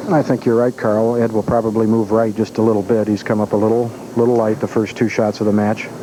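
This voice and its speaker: Over noticeable background noise, a man talks at a very fast pace and medium pitch, monotone and flat, with very even loudness. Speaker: bowling commentator. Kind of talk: live commentary. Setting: bowling alley. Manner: soft-spoken.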